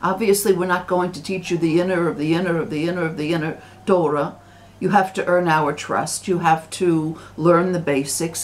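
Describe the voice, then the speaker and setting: A woman with an American accent talks at a moderate pace. Her pitch is fairly low and her intonation fairly even. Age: 60s. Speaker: religious commentator. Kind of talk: vlog monologue. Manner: halting, many repetitions.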